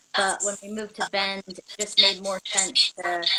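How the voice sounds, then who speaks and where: A woman with an American accent comes through in a dry, close sound with no echo, with noticeable background noise. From Alaska, US. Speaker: adventure racer. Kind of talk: interview.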